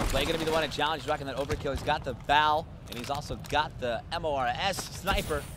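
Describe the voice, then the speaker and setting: With noticeable background noise behind him, a man talks very fast in an animated tone at a fairly high pitch. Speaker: esports commentator. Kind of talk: live esports commentary, rapid play-by-play calling each kill and rotation. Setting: tournament stage with crowd. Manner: fast, animated, excitable.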